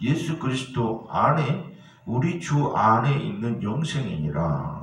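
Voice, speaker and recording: A man talks at a very slow pace with very wide pitch swings. Noticeable background noise and audible room echo are present. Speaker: pastor. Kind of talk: sermon.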